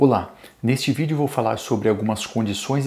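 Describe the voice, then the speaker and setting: A man speaks with ordinary pitch variation. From Brazil. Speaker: toy store seller. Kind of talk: sales pitch. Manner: formal; upbeat. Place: studio. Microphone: lapel.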